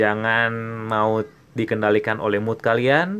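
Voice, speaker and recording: Very slow speech comes in a bright, sharp tone. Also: man. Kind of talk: pep talk, solo podcast monologue. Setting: solo podcast. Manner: animated, emphatic, urging listeners with repeated "oke, okay?".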